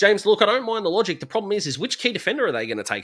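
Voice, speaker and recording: With an Australian accent, the voice has a bright, sharp tone on a very clean recording against a silent background. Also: man. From Australia, south-east Melbourne. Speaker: football YouTuber. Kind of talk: livestream commentary. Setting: bedroom livestream. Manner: fast; animated.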